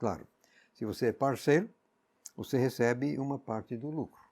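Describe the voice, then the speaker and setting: With an English accent, a man talks at a moderate pace in a dark, mellow tone with ordinary pitch variation. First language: English (speaking Portuguese). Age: 80s+. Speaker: Bible teacher. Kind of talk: Bible exposition.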